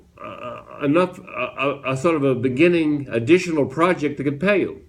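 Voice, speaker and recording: Intonation stays fairly even at a moderate pace. Noticeable background noise runs underneath. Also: man. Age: 80s+. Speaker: entrepreneur. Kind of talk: casual chat. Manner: halting.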